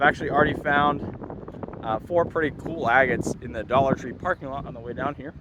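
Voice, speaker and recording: Noticeable background noise runs under this recording. A man speaks with fairly even intonation. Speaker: outdoor adventure vlogger. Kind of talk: casual vlog narration. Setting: outdoors. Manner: casual with frequent fillers.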